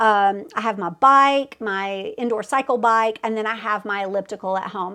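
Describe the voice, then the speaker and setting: In a Southern US accent, a woman talks at a moderate pace with fairly even intonation. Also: quiet background. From US South. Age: 40s. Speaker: fitness competitor and coach. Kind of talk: casual vlog update. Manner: chatty, many fillers.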